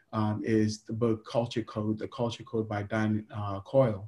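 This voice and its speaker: Somewhat breathy speech with a dark, mellow tone, monotone, flat intonation and a moderate pace, in a very clean recording with a silent background. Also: man. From Ghana. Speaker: startup CEO. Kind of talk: interview. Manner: hesitant, many fillers.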